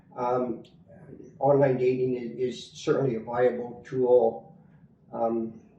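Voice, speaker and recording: A man with a Canadian accent speaks at a very slow pace with long, frequent pauses, his medium pitch and fairly even intonation set against big swings in loudness, audible room echo, and noticeable background noise. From Canada. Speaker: expat interviewee. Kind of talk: interview. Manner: halting, many fillers.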